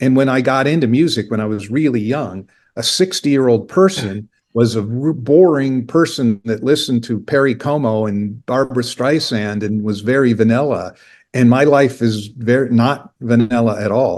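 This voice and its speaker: A man with an American accent speaks in an ordinary speaking voice at medium pitch. His pace is moderate, and the background is quiet. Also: ordinary pitch variation. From Indiana, US Midwest. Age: 50s. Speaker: record label founder. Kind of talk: interview conversation.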